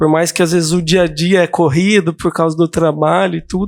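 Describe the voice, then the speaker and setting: Soft-spoken and high-pitched, a man talks at a fairly slow pace with fairly even intonation, recorded very cleanly against a silent background in a dry, close sound with no echo. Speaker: counselee in a simulated counseling session. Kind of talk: role-play counseling session. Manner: calm, soft-spoken; hesitant, many fillers.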